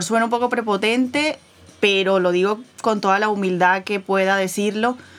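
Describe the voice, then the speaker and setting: The voice belongs to a woman and sits at a medium pitch. It rises and falls in an ordinary way. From Venezuela. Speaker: podcast co-host. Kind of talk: casual chat.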